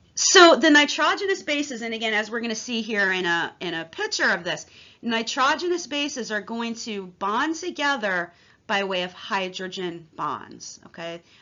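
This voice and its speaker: A woman speaks at a moderate pace in a fairly high pitch. Her pitch swings very widely. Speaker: college instructor. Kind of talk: lecture.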